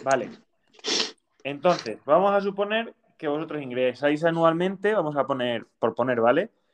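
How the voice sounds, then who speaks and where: Using lively intonation, a man with a fairly high pitch speaks at a moderate pace, with long, frequent pauses. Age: 20s. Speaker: podcast host. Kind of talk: casual chat.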